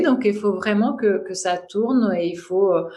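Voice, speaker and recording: A woman with a Russian accent, fairly high in pitch, with ordinary pitch variation, a very slow pace and audible room echo. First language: Russian (speaking French). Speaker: mantra chant teacher. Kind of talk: podcast interview. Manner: hesitant, many fillers.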